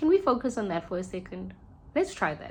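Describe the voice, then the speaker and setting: A woman with a South African accent speaks in a fairly high, somewhat breathy voice. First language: Sesotho. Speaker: podcast host. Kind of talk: reflective monologue. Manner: halting.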